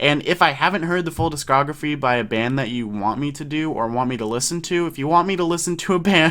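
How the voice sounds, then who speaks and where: Very fast and with hardly any pauses, a man talks at a fairly high pitch in a bright, sharp tone with ordinary pitch variation. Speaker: music YouTuber. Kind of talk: casual album review vlog. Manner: stutters, many ums; hesitant, filler words.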